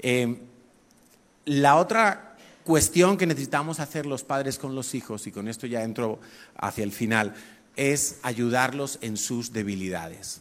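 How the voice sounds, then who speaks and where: With ordinary pitch variation and a moderate pace, this is an ordinary speaking voice. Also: man. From Spain, Madrid. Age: 50s. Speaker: pastor. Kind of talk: sermon.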